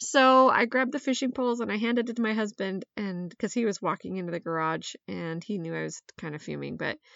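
This woman has a normal speaking voice, fairly high in pitch, with lively intonation. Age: 40s. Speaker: podcast host. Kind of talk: casual monologue.

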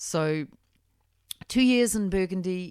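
A woman talks fairly slowly in a very clean recording with a silent background. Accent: New Zealand. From New Zealand. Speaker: winemaker. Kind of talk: interview.

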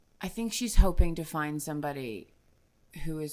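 In a New Jersey accent, a woman speaks fairly slowly with a very deep, low pitch and vocal fry. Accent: New Jersey American. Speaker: guest on tabletop role-playing podcast. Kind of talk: casual chat. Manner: animated.

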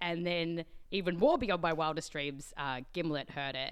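A woman with an Australian accent, a bright, sharp tone and very deep, low pitch, at a moderate pace on a very clean recording with a silent background. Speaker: science podcast host. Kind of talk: interview.

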